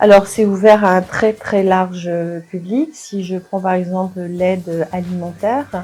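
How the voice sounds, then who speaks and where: Music plays in the background as a woman talks at a fairly slow pace with hardly any pauses. Her voice sits at medium pitch with fairly even intonation. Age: 60s. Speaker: retired nurse, charity volunteer. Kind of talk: interview. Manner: hesitant, many fillers.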